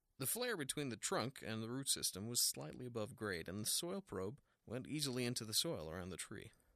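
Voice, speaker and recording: At a fairly quick pace, a man with a plain, everyday voice speaks at medium pitch with lively intonation. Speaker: arborist narrator. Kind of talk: noir detective narration, first-person storytelling. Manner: measured storyteller pacing.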